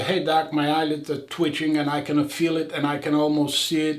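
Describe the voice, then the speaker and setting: A man with a fairly high pitch talks at a moderate pace against noticeable background noise. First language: not English. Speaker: eye surgeon. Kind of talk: casual chat.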